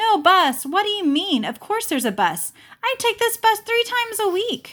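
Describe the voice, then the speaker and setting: A woman's put-on character voice, squeaky and extremely high, with very wide pitch swings, a moderate pace and a very clean recording over a silent background. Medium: read story. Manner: confused, indignant.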